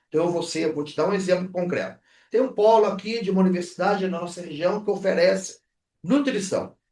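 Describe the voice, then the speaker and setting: A dark, mellow tone at a fairly quick pace with ordinary pitch variation. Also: man, high pitch for a man. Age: 60s. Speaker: university rector and founder. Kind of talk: podcast interview.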